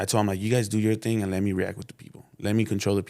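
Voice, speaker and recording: A man is talking. He keeps his intonation fairly even. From South Central Los Angeles. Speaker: local rapper. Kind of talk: casual interview chat. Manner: quiet, reserved.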